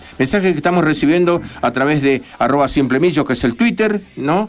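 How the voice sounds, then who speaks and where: A man is speaking. His pitch swings very widely. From Argentina. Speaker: radio co-host. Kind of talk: casual radio chat. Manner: animated. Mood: warm, friendly. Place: studio. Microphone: studio mic.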